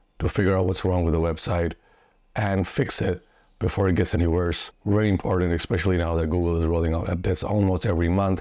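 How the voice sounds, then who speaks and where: Against a quiet background, a dark, mellow tone comes through at a fairly quick pace, the sound dry with no echo. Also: man. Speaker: SEO consultant and YouTuber. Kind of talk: solo video talk about SEO. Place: home room. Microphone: lapel.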